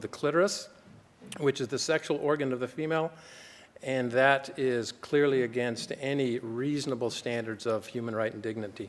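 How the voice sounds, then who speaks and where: Using a normal speaking voice with an American accent, a man talks at a fairly quick pace and medium pitch with fairly even intonation. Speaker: doctor, gynecologist speaking at a conference. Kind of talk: conference talk.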